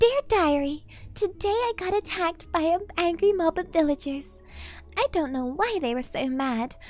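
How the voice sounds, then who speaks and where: Over clear music in the background, a woman performs a put-on character voice at an extremely high pitch and a moderate pace. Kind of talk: mock bedtime-story diary reading. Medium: virtual streamer. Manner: playful, sing-song, faux-innocent.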